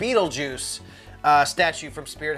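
Faint background music under a man speaking at a moderate pace. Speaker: collector vlogger. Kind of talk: casual vlog chat. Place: home room.

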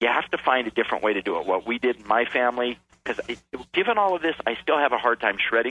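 A man speaks at a very fast pace in a medium pitch, his intonation lively. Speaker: author and keynote speaker. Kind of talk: radio interview.

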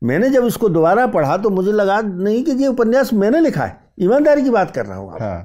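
A man's high, dark, mellow voice with lively intonation at a moderate pace, hardly any pauses, in a very clean recording with a silent background. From Madhya Pradesh, India. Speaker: fiction writer. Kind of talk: interview conversation. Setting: studio.

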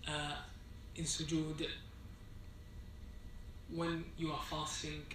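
A man's fairly high, monotone voice with flat intonation, with clear background noise and audible room echo.

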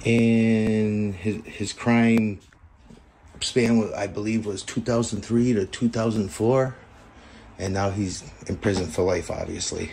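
A man's voice sits fairly low with a dark, mellow tone. He keeps fairly even intonation over light background noise. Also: fairly slow pace. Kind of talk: casual vlog narration. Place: kitchen. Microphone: phone near.

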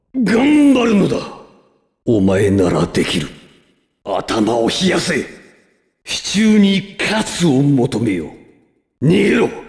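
A man speaks in a put-on character voice, pitched high. His pace is very slow, broken by long, frequent pauses. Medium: dub. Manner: commanding, theatrical.

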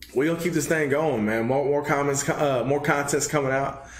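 A man with a Texan accent speaks in a fairly high voice. Audible room echo is present. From Texas. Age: 20s. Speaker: gaming channel host. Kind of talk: casual talk to camera. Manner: upbeat. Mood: grateful, upbeat. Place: home room.

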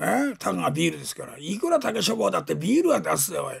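Putting on a raspy character voice, a man rattles along at a very fast pace. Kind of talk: rakugo storytelling. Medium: stage play. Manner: rambling, sardonic.

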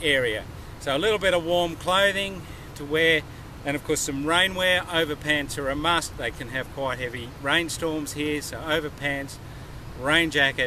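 A man at a moderate pace with ordinary pitch variation, the sound dry with no echo, and noticeable background noise. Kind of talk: tutorial. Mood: enthusiastic, friendly. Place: open country.

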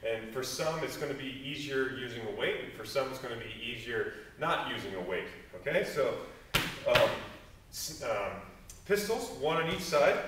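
A man talks at a moderate pace amid noticeable background noise and audible room echo. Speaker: fitness coach. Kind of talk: workout instruction tutorial. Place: gym. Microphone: camera far.

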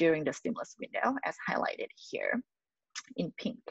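The speaker has a Thai accent. The background is quiet and the sound is dry with no echo. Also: woman. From Thailand. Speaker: postdoctoral researcher. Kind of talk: lecture. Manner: halting, frequent fillers. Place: home room. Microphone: webcam.

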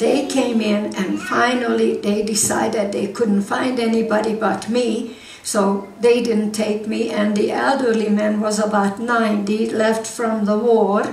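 In a Hungarian accent, a woman speaks at a fairly slow pace with monotone, flat intonation and very even loudness, amid audible room echo and faint background music. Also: fairly high pitch for a woman, hardly any pauses. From Hungary. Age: 80s+. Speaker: war survivor speaker; guest. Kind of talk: church talk to congregation. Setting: church hall. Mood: emotional war memory.

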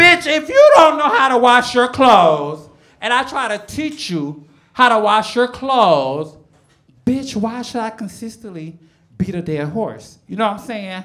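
A woman with an American accent, fairly high pitch, very wide pitch swings, big swings in loudness, and a fairly slow pace, against a quiet background. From Chicago. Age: 40s. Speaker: stand-up comedian. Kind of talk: stand-up comedy set. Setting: comedy club stage. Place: stage. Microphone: handheld.

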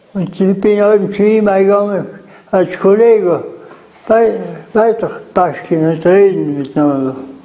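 Delivered at a very slow pace with ordinary pitch variation, the voice carries a South Tyrolean accent. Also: man. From South Tyrol, Lana. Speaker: contemporary witness. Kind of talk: interview answer. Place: home room. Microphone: lapel.

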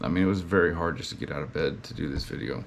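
The voice belongs to a man. He speaks in a Southern US accent. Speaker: lawn care business owner and video blogger. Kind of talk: casual vlog monologue.

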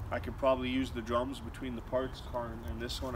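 A man speaks over noticeable background noise. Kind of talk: casual vlog chat. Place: garden.

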